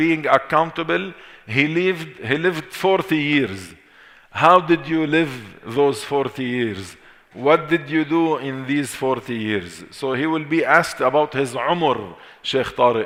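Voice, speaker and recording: Speaking very slowly with an Arabic accent, a man uses a fairly high pitch, a bright, sharp tone, and ordinary pitch variation. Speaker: Islamic teacher. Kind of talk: lecture. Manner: repetitive, deliberate.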